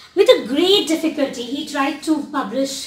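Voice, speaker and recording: A woman talks with a high pitch and ordinary pitch variation. Audible room echo surrounds her voice. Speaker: postdoctoral researcher giving a talk; presenter. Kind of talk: lecture. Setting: library lecture room with audience. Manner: fast. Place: hall. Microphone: camera far.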